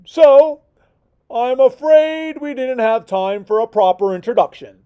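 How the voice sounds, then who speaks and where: A put-on character voice, pitched high and delivered at a fairly slow pace. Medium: read story. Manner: polite, slightly flustered.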